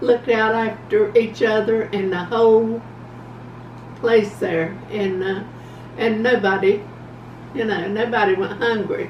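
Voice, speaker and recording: With noticeable background noise behind her, a woman with a fairly high pitch speaks at a fairly slow pace, leaving long, frequent pauses. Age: 80s+. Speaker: grandmother. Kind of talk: interview answer. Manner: slow, hesitant.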